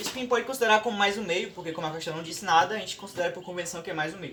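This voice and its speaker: Noticeable background noise sits behind a man's voice. He speaks at a very fast pace with lively intonation. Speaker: student youtuber. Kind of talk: tutorial. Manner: casual.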